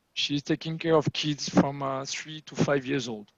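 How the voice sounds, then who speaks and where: A man talks with a strong French accent. The sound is dry and close, with no echo. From France. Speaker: agile coach and meetup facilitator. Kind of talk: online meetup presentation.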